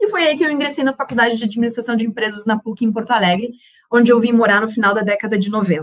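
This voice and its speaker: A somewhat breathy woman with fairly high pitch speaks at a very fast pace with ordinary pitch variation. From southern Brazil, Rio Grande do Sul (Uruguaiana). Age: 30s. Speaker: panel speaker on women and investing. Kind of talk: personal testimony in a panel talk. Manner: casual, with frequent fillers and repetitions.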